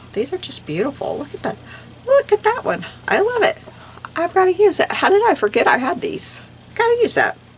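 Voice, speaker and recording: Over noticeable background noise, a woman with extremely high pitch and very wide pitch swings talks at a fairly quick pace, with long, frequent pauses. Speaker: crafting YouTuber. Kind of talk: casual craft tutorial. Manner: animated.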